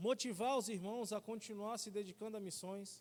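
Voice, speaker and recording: The rhythm is neither fast nor slow. Pitch movement stays fairly flat. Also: man. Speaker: lay preacher. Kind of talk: sermon. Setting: church service, also streamed online.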